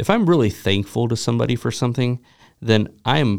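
A man with a normal speaking voice talks at a fairly quick pace, at medium pitch with ordinary pitch variation. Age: 40s. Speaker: pastor and podcast host. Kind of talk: casual chat. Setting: studio.

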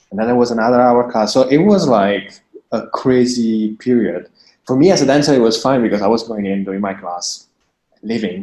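He speaks with an Italian accent. His pace is fairly quick. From Italy. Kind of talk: interview. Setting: remote call from home.

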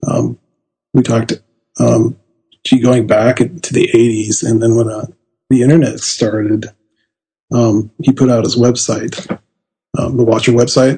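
Somewhat breathy and dark, mellow in tone, a man with a medium pitch speaks at a fairly slow pace with long, frequent pauses. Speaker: author. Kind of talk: interview.

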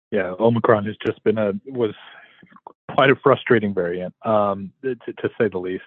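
At a fairly quick pace, a man with a fairly low pitch and ordinary pitch variation sounds dry and close, with no echo.

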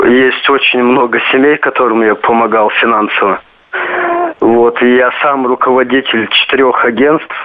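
Noticeable background noise sits behind a man at a medium pitch. He speaks at a fairly slow pace with very even loudness and fairly even intonation. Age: 20s. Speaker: caller. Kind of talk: phone-in call. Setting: phone call.

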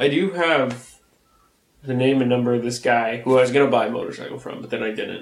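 An ordinary speaking voice from a man at medium pitch, with fairly even intonation and big swings in loudness. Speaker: podcast co-host. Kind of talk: casual chat.

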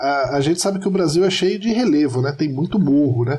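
A normal speaking voice from a man, fairly high in pitch, with lively intonation. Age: 40s. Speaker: podcast listener and supporter. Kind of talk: casual chat.

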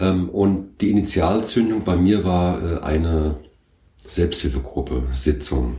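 Amid audible room echo, a man with a very deep, low pitch and a dark, mellow, somewhat breathy tone speaks at a very slow pace with lively intonation. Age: 50s. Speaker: company founder and managing director. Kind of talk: interview.

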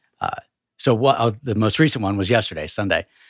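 Someone with an American accent talks at a very fast pace, the sound dry and close with no echo, in a very clean recording with a silent background. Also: man. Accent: Northern US, remarked as Yankee. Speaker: church staff member, co-host.

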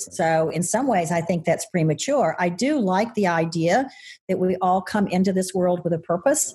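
A woman with a medium pitch and a dark, mellow, somewhat breathy tone speaks at a moderate pace, with lively intonation and very even loudness. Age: 60s. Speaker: podcast co-host. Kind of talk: casual chat. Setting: video call.

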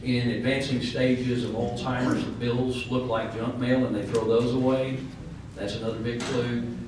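A man with a medium pitch speaks at a moderate pace in a monotone, flat intonation over noticeable background noise. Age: 60s. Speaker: professional guardian. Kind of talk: panel discussion. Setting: event room with live audience.

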